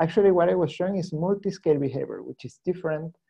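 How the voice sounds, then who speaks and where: With a Spanish accent, a man speaks using ordinary pitch variation. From Chile. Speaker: scientist presenting research. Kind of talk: seminar Q&A. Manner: halting.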